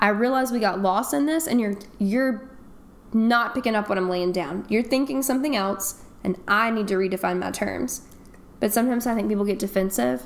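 In an American accent, a woman talks at a fairly quick pace with a fairly high pitch and lively intonation, against noticeable background noise. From North Carolina. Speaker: English teacher. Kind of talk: casual chat.

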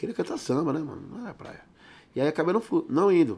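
Very fast speech with lively intonation. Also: man. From São Paulo, Capão Redondo. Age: 40s. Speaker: samba and pagode singer. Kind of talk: casual chat.

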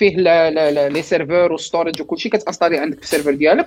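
A man talks very fast with ordinary pitch variation. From Morocco, Fez. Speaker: cloud engineer. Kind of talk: casual panel discussion. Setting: video call from family home.

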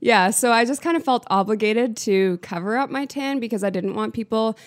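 A woman's plain, everyday voice at medium pitch, fairly quick in pace, with ordinary pitch variation and a very clean recording with a silent background. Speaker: girlfriend of host, guest. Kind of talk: casual chat.

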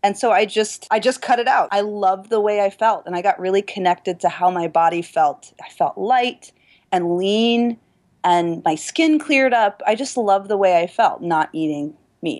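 A woman's ordinary speaking voice at medium pitch, lively in intonation and moderate in pace, on a very clean recording with a silent background. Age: 30s. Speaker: personal trainer and yoga teacher. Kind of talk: interview.

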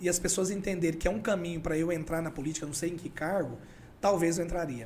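A man talks in a high voice. There is audible echo from the room. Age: 40s. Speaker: podcast guest, former election campaign worker. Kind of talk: casual interview chat. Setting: studio.

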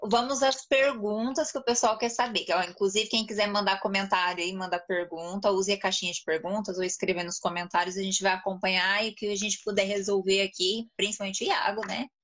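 A woman with an ordinary speaking voice at medium pitch talks at a fairly quick pace with ordinary pitch variation and hardly any pauses. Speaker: live stream host and Portuguese teacher. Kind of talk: casual live stream interview.

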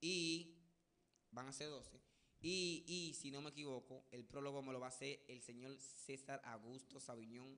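Bright and sharp in tone, a man speaks at a fairly slow pace in a fairly high pitch with fairly even intonation. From Dominican Republic. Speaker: radio morning show host. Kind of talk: casual news chat.

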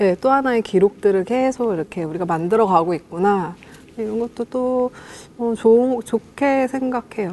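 Her voice is an unremarkable speaking voice, a woman's at fairly high pitch with ordinary pitch variation and a fairly slow pace. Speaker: musician. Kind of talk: casual chat.

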